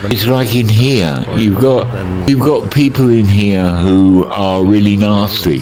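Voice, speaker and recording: Music plays in the background as a man speaks at a very slow pace with a fairly low pitch, ordinary pitch variation, very even loudness and audible room echo. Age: 70s. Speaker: elderly VR chat player. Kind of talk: casual chat.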